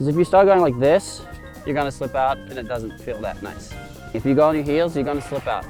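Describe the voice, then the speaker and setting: Music plays behind a man with a fairly high pitch. His tone is playful and upbeat, with ordinary pitch variation. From Norway. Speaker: professional snowboarder. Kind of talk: casual tutorial instruction to camera. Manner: playful, upbeat.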